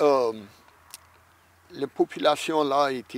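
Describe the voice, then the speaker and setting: This man has a fairly high pitch. His voice sounds dry and close, with no echo. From Louisiana, Vermilion Parish. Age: 60s. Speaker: Cajun musician and tour guide. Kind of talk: interview. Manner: halting.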